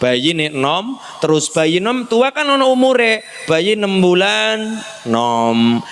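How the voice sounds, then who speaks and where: Against noticeable background noise, a high-pitched man speaks at a very slow pace with very wide pitch swings. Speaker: Islamic preacher. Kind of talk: sermon. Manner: animated.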